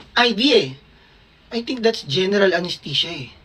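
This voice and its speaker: Noticeable background noise around a woman talking at a moderate speed. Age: 30s. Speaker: vlogger and doctor. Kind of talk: casual storytelling vlog. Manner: animated.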